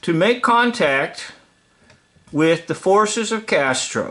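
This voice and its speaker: His pitch ranges very widely up and down. The man's delivery is very slow. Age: 60s. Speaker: video storyteller. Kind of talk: casual storytelling monologue. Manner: halting, with fillers and restarts.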